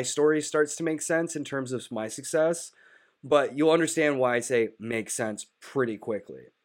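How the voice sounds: A man with a nasal voice talks at a moderate pace with ordinary pitch variation.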